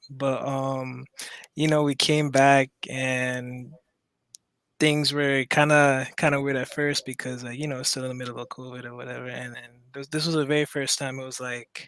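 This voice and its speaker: A man speaking at a moderate pace in a monotone, flat way with big swings in loudness, dry and close with no echo, on a very clean recording against a silent background. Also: medium pitch for a man. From Maryland, Caribbean roots. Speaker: caller. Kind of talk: casual chat. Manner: halting.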